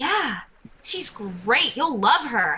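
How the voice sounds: A woman puts on a character voice at a very slow pace, fairly high in pitch with big swings, bright and sharp in tone with a husky, rough edge.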